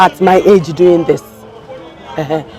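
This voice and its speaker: Crowd noise fills the background as a woman speaks at a fairly low pitch. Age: 60s. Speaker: bus driver. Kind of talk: interview answer.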